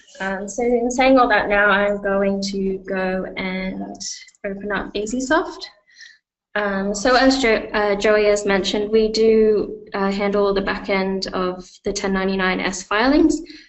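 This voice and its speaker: In a room with audible echo, a woman talks fairly slowly at a medium pitch with ordinary pitch variation. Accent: Australian. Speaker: software company representative. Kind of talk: webinar product demo. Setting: online webinar. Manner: hesitant, many fillers.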